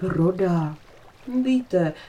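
The voice reads naturally, and its intonation rises and falls in a lively way.

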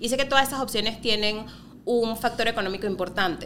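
Her voice sits high for a woman. She lets her pitch vary in an ordinary way. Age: 30s. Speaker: podcast co-host. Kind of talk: casual chat.

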